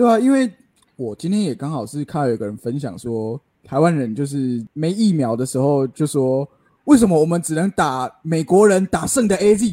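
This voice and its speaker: A man speaks in a fairly high pitch, his voice swinging very widely up and down. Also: moderate pace. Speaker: podcast co-host. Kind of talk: casual chat.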